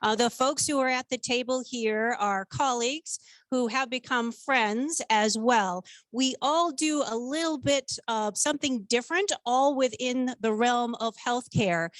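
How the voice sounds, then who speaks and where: Dry and close with no echo, the voice moves at a fairly slow pace with ordinary pitch variation against a quiet background. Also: woman, high pitch for a woman. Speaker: business development manager. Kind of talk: panel introduction. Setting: room with live audience, no mic.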